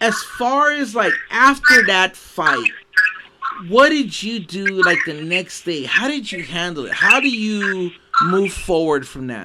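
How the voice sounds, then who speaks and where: Raising and projecting his high-pitched voice, a man speaks at a very slow pace with very wide pitch swings. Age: 50s. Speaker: podcast host. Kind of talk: casual interview. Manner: animated.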